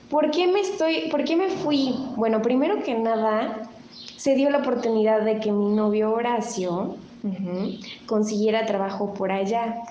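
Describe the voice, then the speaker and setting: Fairly high-pitched woman in a Mexico City accent, fairly slow in pace with lively intonation, amid audible room echo and noticeable background noise. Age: 30s. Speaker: host's daughter. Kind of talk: casual chat.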